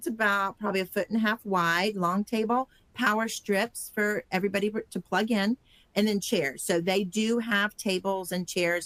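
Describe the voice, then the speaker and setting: In an unremarkable speaking voice of medium pitch, a woman talks at a moderate pace with fairly even intonation and very even loudness. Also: dry, close sound with no echo. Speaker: conference organizer. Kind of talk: training webinar.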